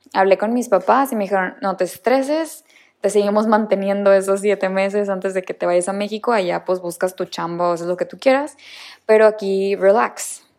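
This is a normal speaking voice, a woman's, at medium pitch. She talks at a moderate pace with ordinary pitch variation. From Mexico, Monterrey. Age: 20s. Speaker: podcast host and new mother. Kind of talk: casual personal monologue.

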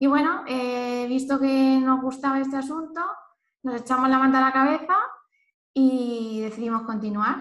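With audible room echo, a woman talks at a moderate pace using fairly even intonation. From Spain, Elche (Valencian region). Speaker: nutritionist. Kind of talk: casual chat.

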